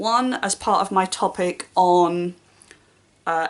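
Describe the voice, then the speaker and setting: A woman with a British accent speaks with lively intonation. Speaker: booktuber and primary school teacher. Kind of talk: casual vlog talk. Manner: fast.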